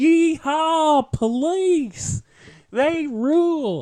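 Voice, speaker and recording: The voice is a put-on character voice. It is pitched high. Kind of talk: folksy, cheering. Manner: mocking, exaggerated.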